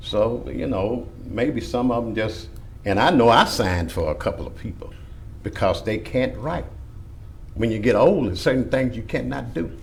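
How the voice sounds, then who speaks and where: A man speaks at a moderate pace in a Louisiana accent. His long, frequent pauses come through with audible room echo. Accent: Louisiana Southern US. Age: 60s. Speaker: church member opposing request. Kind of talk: public hearing testimony.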